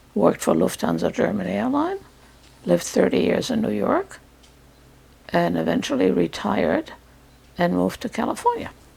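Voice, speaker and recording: A woman speaks with long, frequent pauses. Noticeable background noise runs behind her. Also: moderate pace. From France. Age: 80s+. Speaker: Holocaust survivor. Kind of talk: testimony.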